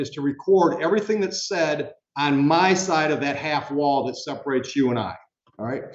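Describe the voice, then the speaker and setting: Here a man has a fairly high pitch and ordinary pitch variation. He speaks at a moderate pace with audible room echo. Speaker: judge. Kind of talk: jury instructions to prospective jurors. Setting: courtroom. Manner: loud; casual, conversational.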